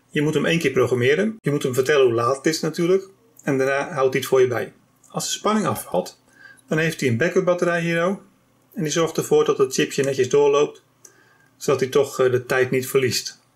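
Over a quiet background, a man talks at a fairly quick pace in a somewhat breathy voice with ordinary pitch variation. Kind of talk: tutorial. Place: workshop.

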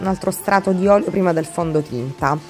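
Faint music plays in the background as a woman speaks with ordinary pitch variation. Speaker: beauty vlogger. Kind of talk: casual vlog chat. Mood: relaxed, calm. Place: bathroom. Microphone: phone near.

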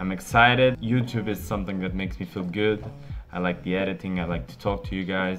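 Faint music plays in the background as a man talks at a moderate pace. His pitch is very deep and low. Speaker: medical student vlogger. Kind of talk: casual vlog chat. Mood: apologetic then upbeat. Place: home room. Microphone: phone near.

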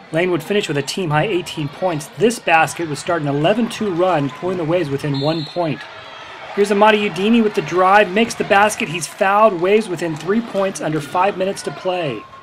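A man's energetic, upbeat voice, high in pitch, at a fairly quick pace with ordinary pitch variation over noticeable background noise. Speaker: sports commentator. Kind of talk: sports highlight recap narration, play-by-play. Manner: brisk, energetic, upbeat play-by-play delivery.

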